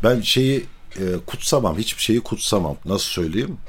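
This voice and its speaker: This is a man talking at a moderate pace. His intonation is lively. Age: 40s. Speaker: string instrument maker. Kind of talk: personal storytelling.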